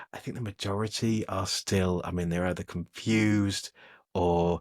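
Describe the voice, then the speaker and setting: Recorded very cleanly over a silent background, a man with an English accent talks at a moderate pace with ordinary pitch variation. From England. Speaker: technology editor and podcast co-host. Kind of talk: casual podcast chat. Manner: hesitant, lots of fillers and repeats.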